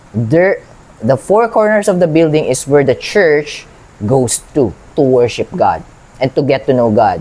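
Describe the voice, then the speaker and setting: At a fairly slow pace, a man with a fairly high pitch speaks with very wide pitch swings. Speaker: Bible reader and lay preacher. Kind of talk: Bible reading with commentary. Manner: halting, many restarts; code-switching Tagalog and English.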